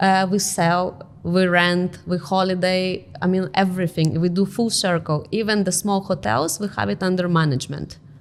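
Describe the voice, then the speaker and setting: With a Lithuanian accent, a woman talks at a moderate pace and medium pitch, with ordinary pitch variation, hardly any pauses and very even loudness. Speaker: real estate company director. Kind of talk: interview.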